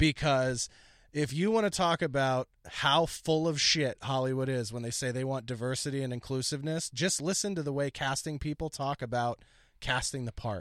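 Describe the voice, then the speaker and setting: In an American accent, a man with an unremarkable speaking voice and fairly high pitch talks at a moderate pace with ordinary pitch variation, on a very clean, dry, close recording with a silent background and no echo. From Philadelphia, US. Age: 30s. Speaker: comedian and podcast host. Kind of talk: casual chat.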